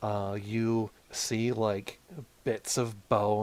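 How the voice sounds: The speaker uses a natural reading voice.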